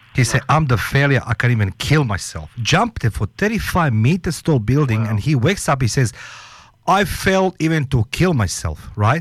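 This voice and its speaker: A man talks at a moderate pace in a somewhat breathy, medium-pitched voice with very wide pitch swings and very even loudness, on a very clean recording with a silent background and a dry, close sound with no echo. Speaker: radio show host. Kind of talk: radio interview. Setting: radio studio. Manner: animated, repetitive.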